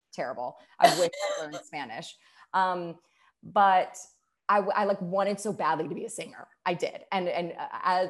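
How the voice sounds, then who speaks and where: A woman speaks in a plain, everyday voice, pitched fairly low. She talks at a moderate pace over a quiet background. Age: 30s. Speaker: musical theater actress. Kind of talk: casual interview chat. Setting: remote interview during pandemic. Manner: warm, chatty.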